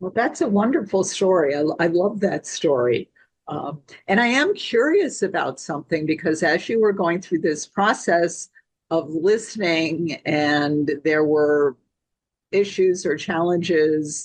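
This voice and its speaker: Speaking at a fairly slow pace, a woman has a plain, everyday voice, fairly low in pitch with ordinary pitch variation. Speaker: sales trainer and podcast host. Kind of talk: podcast interview question.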